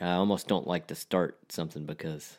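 With a Texan accent, a man talks at a moderate pace in a flat monotone on a very clean recording with a silent background. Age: 30s. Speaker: podcast co-host. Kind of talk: casual chat.

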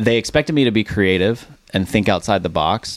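A man's normal speaking voice with an American accent and lively intonation. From Dallas, Texas. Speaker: brand marketing founder. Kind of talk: interview. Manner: casual.

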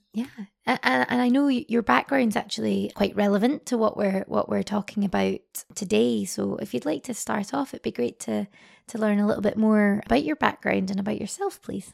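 Recorded very cleanly with a silent background and a dry, close sound without echo, a woman speaks at a fairly quick pace. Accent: Scottish. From Scotland. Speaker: podcast host. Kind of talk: interview conversation.

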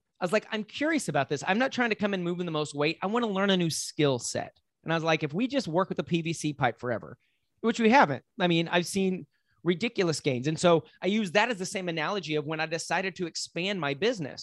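A man with a Texan accent speaks very fast in an energetic tone, his pitch high and his intonation lively. The sound is dry and close, with no echo. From West Texas, Lubbock. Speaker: business coach. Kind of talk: interview.

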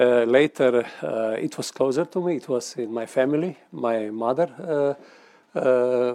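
A man's medium-pitched voice with ordinary pitch variation, at a fairly slow pace, in a Slovenian accent. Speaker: member of the European Parliament. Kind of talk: panel discussion. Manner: halting.

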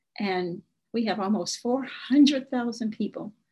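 Somewhat breathy, with an Arkansas accent and ordinary pitch variation, the voice sits over a quiet background. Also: woman. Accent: Southern US (Arkansas). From US South, South Arkansas (Nevada County). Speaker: state senator. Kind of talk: interview.

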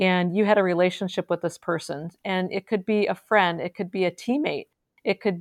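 A woman with an American accent speaks at a moderate pace in a plain, everyday voice. Her medium pitch holds fairly even intonation. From central Wisconsin. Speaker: podcast host, charity CEO. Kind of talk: interview.

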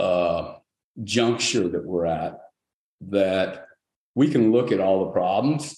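A man speaks with ordinary pitch variation and a dark, mellow tone, with audible echo from the room. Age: 60s. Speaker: company founder and CEO. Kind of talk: interview.

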